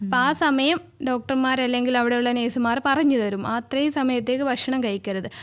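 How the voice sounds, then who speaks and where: A woman's high-pitched voice holds very even loudness and fairly even intonation. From Lakshadweep. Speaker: anaesthesiologist. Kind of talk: radio interview answer. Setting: studio.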